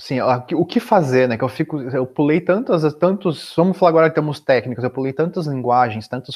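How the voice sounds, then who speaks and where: A man talks with ordinary pitch variation. Nothing intrudes from the quiet background. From Brazil, Curitiba region (Paraná); Paraná, Brazil. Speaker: software developer and entrepreneur; podcast guest. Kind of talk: interview conversation. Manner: halting, many filler words. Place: home room. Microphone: earbuds.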